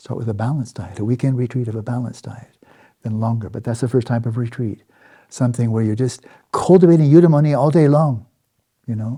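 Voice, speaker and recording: A man speaks at a very fast pace, somewhat breathy and with ordinary pitch variation. His tone is dark and mellow. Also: medium pitch for a man. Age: 70s. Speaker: Buddhist meditation teacher. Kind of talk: dharma talk. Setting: meditation retreat. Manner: halting.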